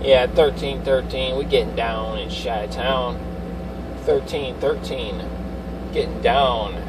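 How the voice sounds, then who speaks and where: Noticeable background noise runs under the recording. A man speaks at a very slow pace. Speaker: CB radio operator. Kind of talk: radio chatter. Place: car.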